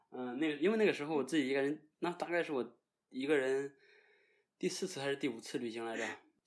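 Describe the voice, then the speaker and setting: A man's fairly high voice at a very fast pace, with long, frequent pauses and ordinary pitch variation, on a very clean recording with a silent background. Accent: Shandong. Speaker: guest co-host. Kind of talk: casual chat.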